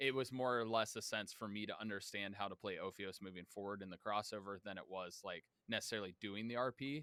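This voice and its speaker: A man talks loudly at a very fast pace, with hardly any pauses. His tone is bright and sharp, and his intonation stays fairly even. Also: fairly low pitch for a man, dry, close sound with no echo. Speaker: tabletop game player. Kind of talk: casual chat.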